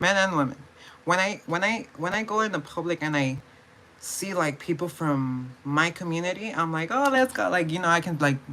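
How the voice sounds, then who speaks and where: Mumbling in an American accent, a woman with a fairly low pitch speaks at a moderate pace with lively intonation. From California. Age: 20s. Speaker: vlogger. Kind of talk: casual vlog monologue. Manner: halting, repetitive.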